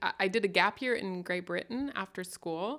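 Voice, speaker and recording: A woman with a Midwestern American accent has a bright, sharp tone. The recording is very clean, with a silent background. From West Germany. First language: German. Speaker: comedian. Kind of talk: casual chat.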